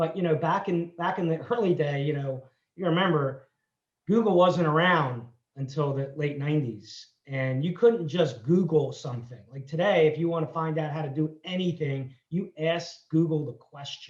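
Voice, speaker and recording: A man with a fairly high pitch speaks at a moderate pace. He has a plain, everyday voice with ordinary pitch variation. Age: 60s. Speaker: entrepreneur. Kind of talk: interview.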